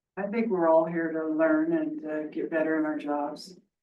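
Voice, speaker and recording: The room adds audible echo. A woman talks at a moderate speed. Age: 60s. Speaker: fairgrounds staff member. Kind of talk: committee meeting comment.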